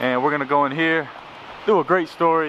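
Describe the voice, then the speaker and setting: Against noticeable background noise, a man talks at a fairly quick pace in a fairly high pitch. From Chattanooga, Tennessee. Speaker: travel vlogger, former teacher. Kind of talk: vlog narration. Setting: walking into a TV station. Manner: animated.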